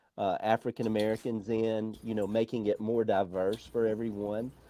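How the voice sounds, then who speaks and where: A man with an Alabama accent speaks at a medium pitch and moderate pace in a dark, mellow tone. His intonation is monotone and flat, and the recording is very clean with a silent background. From Alabama, US South. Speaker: motorsport journalist. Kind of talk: interview.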